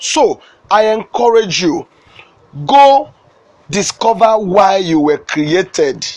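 A man with a Nigerian accent speaks at a very slow pace in a high voice, his pitch swinging very widely, with long, frequent pauses. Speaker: motivational speaker. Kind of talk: sermon. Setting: studio.

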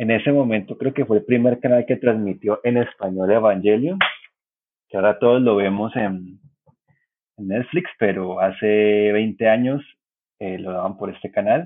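In a normal speaking voice, a man talks at a fairly slow pace with fairly low pitch and ordinary pitch variation. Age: 30s. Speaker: cartoonist and journalist. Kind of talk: casual chat.

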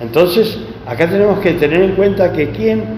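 Amid noticeable background noise and audible room echo, a man speaks with very wide pitch swings. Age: 70s. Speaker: preacher. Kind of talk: sermon.

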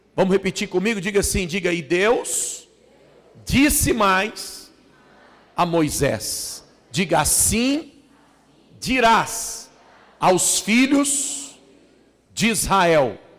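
Amid noticeable background noise, a man with a high voice speaks at a very slow pace with lively intonation, very even loudness and long, frequent pauses. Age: 40s. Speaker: pastor. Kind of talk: sermon. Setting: church.

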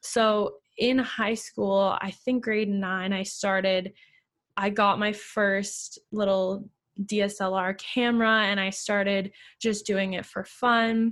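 Very slow, monotone delivery with flat intonation in a very clean recording against a silent background. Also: woman, medium pitch for a woman. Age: 20s. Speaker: photographer and life coach. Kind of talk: interview.

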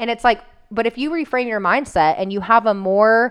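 A woman with a normal speaking voice, fairly quick in pace and ordinary in pitch variation. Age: 30s. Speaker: nutrition coaching podcast co-host. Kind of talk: casual chat.

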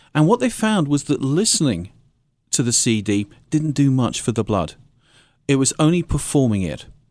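In a British accent, a man speaks at a moderate pace with a fairly high voice and very wide pitch swings. Long, frequent pauses mark this very clean recording with its silent background. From England. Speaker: music and health institute director.

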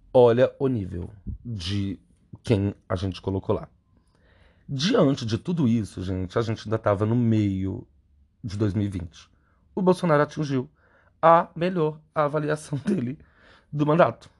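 A man at medium pitch speaks fairly slowly, with long, frequent pauses and very wide pitch swings. His voice is somewhat breathy against a quiet background. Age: 30s. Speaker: podcast host and clinical psychologist. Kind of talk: solo commentary monologue.

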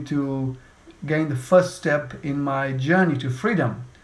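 Through audible room echo, a man talks in a somewhat breathy, fairly high voice with ordinary pitch variation. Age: 40s. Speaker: podcast host and speech coach. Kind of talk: interview.

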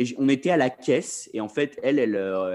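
A man talks at medium pitch with ordinary pitch variation. He has an ordinary speaking voice. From Paris, France. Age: 20s. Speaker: freelance video director. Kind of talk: casual chat.

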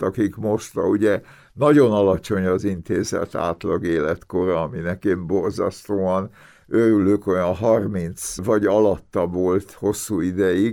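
A man's fairly low, dark and mellow voice at a very slow pace, on a very clean recording with a silent background. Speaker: immunologist and author. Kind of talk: interview.

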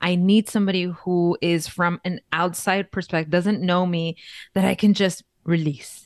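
A woman with an American accent talks at a moderate pace in a fairly low, monotone voice. The sound is dry and close, without echo. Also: quiet background. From East Los Angeles, California. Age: 30s. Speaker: content creator. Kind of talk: casual interview chat. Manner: hesitant, many fillers and restarts.

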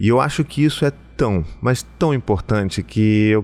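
Over a silent background in a very clean recording, a man with an unremarkable speaking voice talks in a fairly low pitch with lively intonation. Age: 40s. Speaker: psychoanalyst and podcast host. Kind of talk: solo podcast monologue. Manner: warm, conversational.

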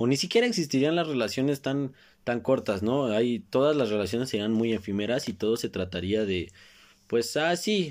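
A man with a Mexico City accent talks at medium pitch and a moderate pace with lively intonation on a very clean recording with a silent background. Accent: Mexican Spanish (Mexico City). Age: 20s. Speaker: podcast host. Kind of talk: solo casual monologue. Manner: halting, many repeated words.

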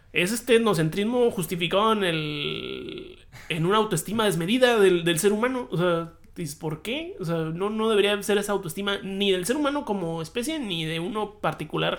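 This man has a high voice with ordinary pitch variation. He speaks at a moderate pace. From Hermosillo, Sonora, Mexico. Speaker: podcast co-host. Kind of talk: casual chat.

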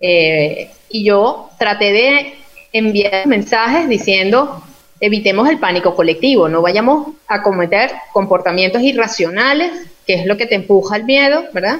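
Over noticeable background noise, a woman speaks at a fairly slow pace. Her fairly high voice carries lively intonation. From Venezuela, Yaracuy state. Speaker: clinical and social psychologist, researcher. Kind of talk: interview in an online live talk.

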